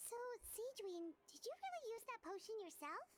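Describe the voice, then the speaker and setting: A woman in a squeaky, put-on character voice speaks with lively intonation at an extremely high pitch. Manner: surprised.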